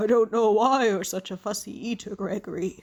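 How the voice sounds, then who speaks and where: A raspy, female-sounding put-on character voice at a fairly high pitch. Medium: read story.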